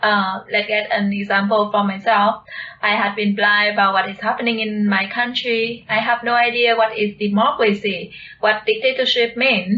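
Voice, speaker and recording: A woman speaks with a Vietnamese accent at a fairly high pitch, her intonation monotone and flat. Noticeable background noise runs underneath. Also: moderate pace. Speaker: video channel co-host. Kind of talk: conversational discussion.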